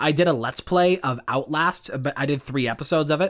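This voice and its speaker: This voice belongs to a man. It carries a bright, sharp tone. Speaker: podcast co-host. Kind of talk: casual chat. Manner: projected volume.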